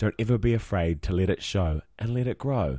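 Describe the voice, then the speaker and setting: A man with a New Zealand accent at a moderate pace, on a very clean recording with a silent background. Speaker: podcast co-host and musical theatre performer. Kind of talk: casual chat.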